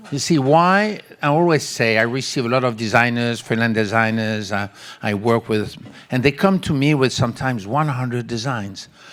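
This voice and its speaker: A man with a French accent talks at a moderate pace and medium pitch, with ordinary pitch variation. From France. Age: 70s. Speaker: textile company creative director. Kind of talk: audience Q&A at a panel. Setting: stage with audience.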